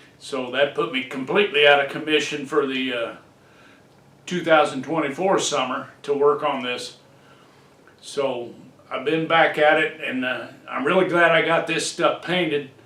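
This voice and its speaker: This man's fairly high voice keeps a mostly level melody at an average speed, with clear background noise and some audible echo from the room. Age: 60s. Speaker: hobbyist car restorer. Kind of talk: casual DIY video talk. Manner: relaxed with many fillers.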